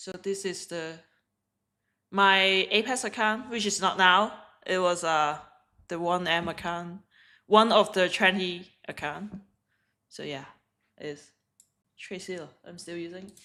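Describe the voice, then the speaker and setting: In a very clean recording with a silent background, a woman with a Hong Kong accent speaks at a fairly slow pace in a medium pitch, with fairly even intonation, big swings in loudness and long, frequent pauses. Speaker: day trader streamer. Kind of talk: live trading stream chat. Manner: halting.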